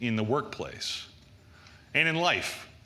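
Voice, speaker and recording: With audible room echo, a man at a medium pitch speaks at a moderate pace with lively intonation. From US Northeast. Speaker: conference speaker on application security. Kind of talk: conference talk.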